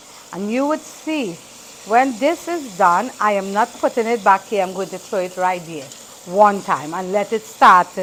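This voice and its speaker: Noticeable background noise sits behind a woman speaking at a moderate pace. Her medium-pitched voice has lively intonation. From Trinidad. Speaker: home cooking vlogger. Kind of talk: cooking tutorial.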